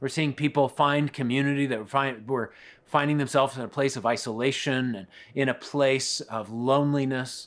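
In a very clean recording with a silent background, a man with an ordinary speaking voice and medium pitch talks at a moderate pace with fairly even intonation. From Colorado. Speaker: pastor. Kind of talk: sermon.

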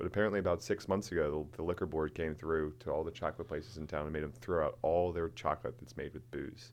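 A man with a very deep, low voice talks very fast with hardly any pauses and ordinary pitch variation. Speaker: distillery co-owner. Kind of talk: casual chat. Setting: studio.

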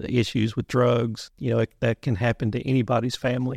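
Male voice with vocal fry and fairly even intonation, recorded dry and close with no echo. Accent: Kentucky. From Western Kentucky (Muhlenberg County). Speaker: police instructor, retired police chief. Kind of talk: interview.

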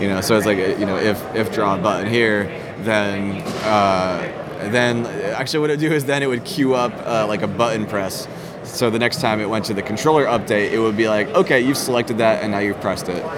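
Speaking at a fairly quick pace, a man with a fairly low pitch is heard over noticeable background noise in a room with audible echo. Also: ordinary pitch variation. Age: 30s. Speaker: indie game developer. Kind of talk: casual interview. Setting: conference floor. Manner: halting, many repeated words.

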